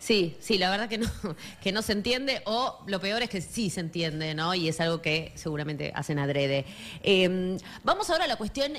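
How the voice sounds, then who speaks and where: Woman with a Rioplatense accent, medium pitch, lively intonation and a moderate pace, in a very clean recording with a silent background. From Argentina, La Matanza (Catán). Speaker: radio host. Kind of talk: radio interview. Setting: radio studio.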